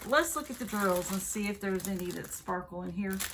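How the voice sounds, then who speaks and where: With a Southern US accent, the speaker is heard through audible room echo. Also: woman. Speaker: craft video creator. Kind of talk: product unboxing review. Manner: casual, chatty.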